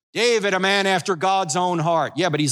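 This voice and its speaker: A man's high, bright, sharp voice with an American accent, raised and projected, animated in tone, at a fairly quick pace, on a very clean recording with a silent background. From New Jersey. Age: 60s. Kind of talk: sermon.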